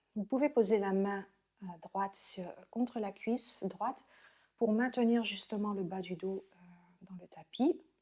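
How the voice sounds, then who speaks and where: The woman's voice has a dark, mellow tone, medium pitch and ordinary pitch variation. Her loudness swings widely. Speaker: yoga teacher. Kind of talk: guided yoga class.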